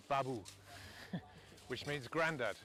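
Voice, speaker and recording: In a West Country accent, a man speaks with a bright, sharp tone. His intonation is fairly even. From Bristol, England. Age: 60s. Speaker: strategy consultant and volunteer. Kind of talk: interview testimony. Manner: halting, many fillers.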